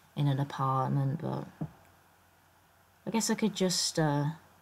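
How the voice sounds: A woman's low, croaky voice with vocal fry, lively intonation and a fairly slow pace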